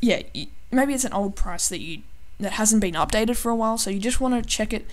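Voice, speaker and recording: With audible room echo, a woman with a fairly high voice speaks very fast, her pitch varying in an ordinary way. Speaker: gaming tutorial youtuber. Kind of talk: tutorial. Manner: halting, many filler ums.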